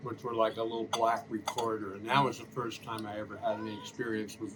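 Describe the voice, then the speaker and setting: A man at a medium pitch with an American accent, a very fast pace and noticeable background noise. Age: 70s. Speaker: musician. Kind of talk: casual chat.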